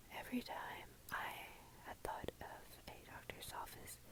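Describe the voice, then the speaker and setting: A woman whispering at a very slow pace, with an American accent. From Texas, USA. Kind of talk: ASMR whisper ramble. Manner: whispered, slow, soft.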